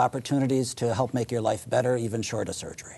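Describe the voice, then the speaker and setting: With an American accent, a man talks at a fairly quick pace in an ordinary speaking voice, medium in pitch, with fairly even intonation. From Chicago area, US. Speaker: orthopedic surgeon. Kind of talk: interview.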